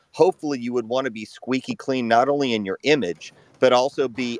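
Here is a man with an ordinary speaking voice and a medium pitch. He talks at a moderate pace, with a dry, close sound and no echo. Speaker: former anti-racism activist. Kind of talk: live audio room debate.

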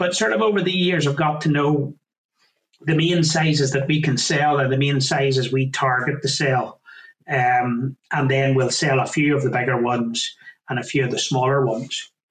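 A man speaks in a Northern Irish accent, somewhat breathy and fairly high in pitch. His loudness stays very even, his intonation fairly even, and his pace moderate. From Northern Ireland, County Down. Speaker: farmer and butcher business owner. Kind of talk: interview.

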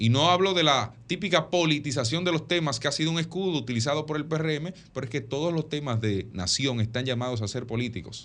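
Against a quiet background, a man with a normal speaking voice and fairly high pitch talks with lively intonation and hardly any pauses. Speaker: radio panelist, political commentator. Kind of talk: political commentary.

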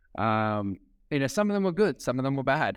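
On a very clean recording with a silent background, a man with an Australian accent talks very fast in an animated tone. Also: dry, close sound with no echo. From Sydney, Australia. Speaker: real estate auctioneer. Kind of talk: casual interview chat. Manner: animated, talkative.

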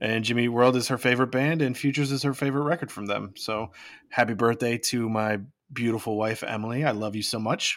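On a very clean recording with a silent background, a man speaks very fast at a medium pitch with fairly even intonation. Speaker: podcast co-host. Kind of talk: casual chat.

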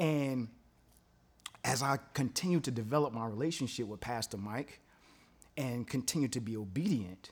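In a very clean recording with a silent background, a man speaks at a moderate pace and a medium pitch, his tone animated and his intonation lively. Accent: American. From Brooklyn, New York. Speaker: DJ. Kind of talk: testimony.

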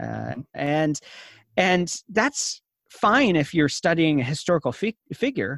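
Recorded very cleanly against a silent background, with a dry, close sound and no echo, a man talks in an ordinary speaking voice that sits fairly high and carries lively intonation. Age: 30s. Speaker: innovation consultant and former church worker. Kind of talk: interview.

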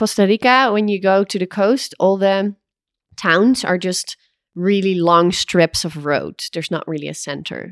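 A woman with a Dutch accent at a medium pitch and fairly slow pace, ordinary pitch variation, dry and close with no echo, in a very clean recording over a silent background. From Netherlands. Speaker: co-living founder and business owner. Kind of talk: casual interview conversation. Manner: hesitant, many fillers.

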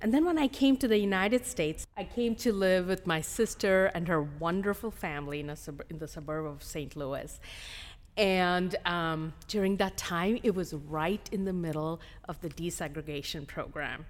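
In a fairly low pitch, a woman talks at a moderate pace with lively intonation and a plain, everyday voice. The recording is very clean, with a silent background. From India (Hyderabad), moved to US as a teen. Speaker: school district administrator, former principal. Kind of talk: interview conversation.

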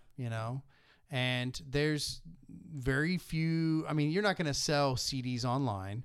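A man with an unremarkable speaking voice talks at a fairly slow pace, his pitch fairly high with ordinary variation. The recording is very clean, with a silent background. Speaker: podcast host, musician. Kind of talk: casual interview.

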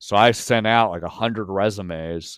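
With an ordinary speaking voice, a man talks at a fairly low pitch and with fairly even intonation. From Pennsylvania (York). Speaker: sports reporter. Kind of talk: casual chat.

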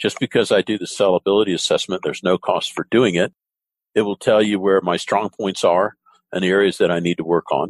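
With an American accent and an unremarkable speaking voice, a man talks at a fairly low pitch and fairly quick pace with fairly even intonation, the sound dry and close with no echo. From US South. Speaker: podcast host. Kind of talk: interview, business conversation.

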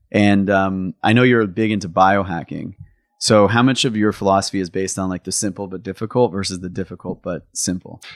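Fairly low in pitch, with fairly even intonation, a man talks at a fairly quick pace in an ordinary speaking voice, the sound dry and close with no echo in a very clean recording with a silent background. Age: 30s. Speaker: podcast host. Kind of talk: casual interview chat. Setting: studio recording on camera, no headset.

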